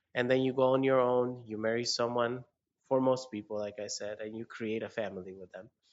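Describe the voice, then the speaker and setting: Speaking at a moderate pace in a Spanish accent, a man with a medium-pitched voice sounds animated, his pitch varying in an ordinary way. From rural Mexico. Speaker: podcast co-host. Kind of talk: casual chat.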